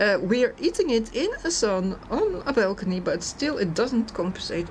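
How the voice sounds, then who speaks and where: Over noticeable background noise, a woman speaks at a fairly slow pace with a Dutch accent. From Netherlands. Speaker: food reviewer. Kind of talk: product review vlog. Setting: outdoors on a balcony. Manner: hesitant, many fillers.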